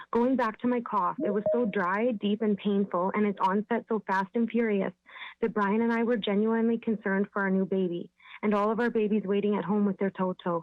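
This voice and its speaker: Speaking in a plain, everyday voice, a woman keeps a fairly quick pace, medium pitch, fairly even intonation and very even loudness. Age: 30s. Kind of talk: public presentation to city council. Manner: formal.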